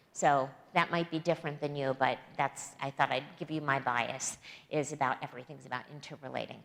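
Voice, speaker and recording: Her voice is very deep and low for a woman, and her intonation is fairly even. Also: fairly quick pace. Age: 60s. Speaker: guest preacher. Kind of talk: sermon. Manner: halting, many fillers and restarts.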